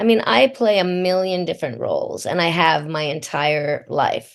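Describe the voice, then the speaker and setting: A woman talks at a moderate pace with a medium pitch and ordinary pitch variation. It is an ordinary speaking voice. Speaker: voice actor. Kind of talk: interview answer.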